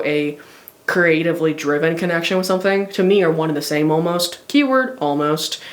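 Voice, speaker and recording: The speech moves at a fairly quick pace. Noticeable background noise can be heard. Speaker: tarot reader. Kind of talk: tarot reading monologue. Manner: hesitant, many fillers; stutters occasionally.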